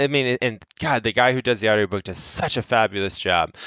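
In a bright, sharp, upbeat tone, a man talks at a fairly quick pace with a dry, close sound and no echo. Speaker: fantasy author, guest. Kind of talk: casual interview. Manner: upbeat, friendly.

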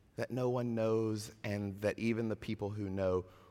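With an American accent, the speaker uses a dark, mellow tone, fairly even intonation and a very slow pace. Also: man. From US South. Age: 40s. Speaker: pastor. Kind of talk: sermon.

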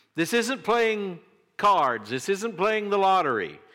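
Bright and sharp in tone, a man speaks with a high pitch. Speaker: pastor. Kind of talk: sermon. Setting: church.

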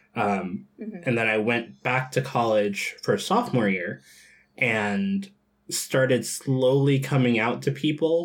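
An unremarkable speaking voice with an American accent moves at a fairly slow pace with lively intonation. The recording is very clean, with a silent background. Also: man, medium pitch for a man. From US South (Georgia, Bible Belt). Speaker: tabletop role-playing gamer and streamer. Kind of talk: casual interview and tabletop game play.

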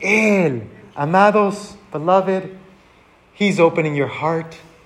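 Very slow, fairly even speech in an American accent, with audible room echo and noticeable background noise. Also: man. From Texas border region. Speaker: pastor. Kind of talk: bilingual sermon.

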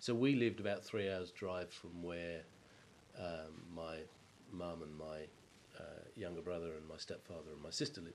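A man with an English accent and a very deep, low voice talks at a moderate pace with ordinary pitch variation. Long, frequent pauses break his speech, and room echo is audible. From England. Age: 50s. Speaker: water utility executive. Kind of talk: interview about life story.

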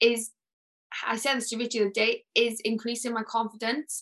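A woman projects a raised voice with a bright, sharp tone at a moderate pace. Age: 20s. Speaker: bodybuilder. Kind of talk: casual chat.

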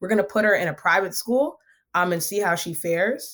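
A woman speaks at a medium pitch with ordinary pitch variation on a very clean recording with a silent background. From US, Ghanaian immigrant family. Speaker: nonprofit co-founder and economics researcher. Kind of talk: interview conversation. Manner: authoritative.

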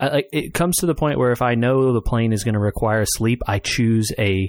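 On a very clean recording with a silent background, a man talks fairly quickly with ordinary pitch variation. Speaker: podcast host. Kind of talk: casual chat. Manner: loud.

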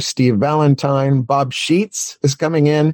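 In a dry, close sound with no echo, a man with a plain, everyday voice speaks at medium pitch and a fairly slow pace. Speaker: magic convention organizer. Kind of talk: casual interview chat.

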